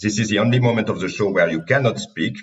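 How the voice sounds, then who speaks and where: The speech has a French accent and ordinary pitch variation. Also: man. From France. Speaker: podcast host, company CEO. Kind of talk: interview.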